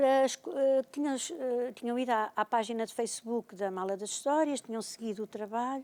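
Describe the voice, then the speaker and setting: Her voice is high-pitched with a dark, mellow tone. The woman speaks with hardly any pauses. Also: ordinary pitch variation, moderate pace. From Portugal, Oeste region (Bombarral). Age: 60s. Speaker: retired librarian and storyteller. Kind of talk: TV talk show interview.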